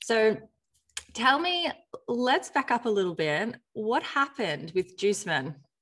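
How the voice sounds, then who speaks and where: Delivered at a fairly slow pace with long, frequent pauses, the speech shows very wide pitch swings. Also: woman, fairly high pitch for a woman. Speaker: podcast host and marketing agency CEO. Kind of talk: interview, host intro and outro. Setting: virtual call, remote guest.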